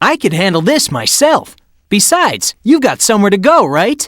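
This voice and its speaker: A cartoonish character voice with very wide pitch swings, on a very clean recording with a silent background. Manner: confident, breezy.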